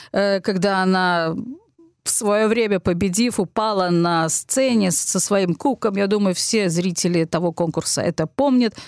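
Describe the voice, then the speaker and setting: A woman with a plain, everyday voice and a medium pitch speaks at a fairly slow pace with ordinary pitch variation, in a dry, close sound with no echo. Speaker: radio host. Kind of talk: scripted radio magazine presentation.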